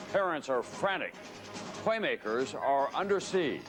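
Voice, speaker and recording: Noticeable background noise runs under a man's voice. He speaks at a moderate pace with lively intonation. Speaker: TV news anchor. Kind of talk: broadcast TV news anchor read.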